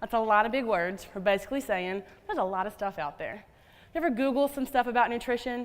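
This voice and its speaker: Speaking at a fairly quick pace with ordinary pitch variation, a woman has an animated tone and a slight Southern US accent. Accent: slight Southern twang. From US South. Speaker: dietitian. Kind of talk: conference talk. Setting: stage with audience.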